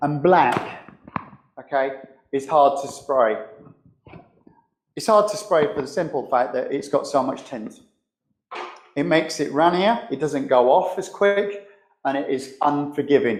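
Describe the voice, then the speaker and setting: Amid audible room echo, a man with a fairly high pitch and lively intonation speaks at a fairly slow pace, leaving long, frequent pauses. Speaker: spray painter and show host. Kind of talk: live demonstration tutorial. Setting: live streamed workshop demo. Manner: loud; casual, conversational.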